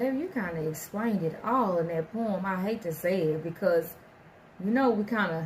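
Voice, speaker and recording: Noticeable background noise sits behind a woman who speaks at a medium pitch. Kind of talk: casual talk to camera.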